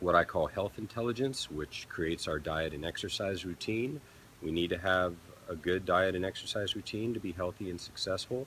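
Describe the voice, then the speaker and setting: Speech proceeds at a moderate speed, and the pitch moves in an ordinary way. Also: man, very deep, low pitch for a man. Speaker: peak performance consultant. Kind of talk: live stream Q&A talk. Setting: live stream from a resort. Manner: speaking louder after viewer complaint.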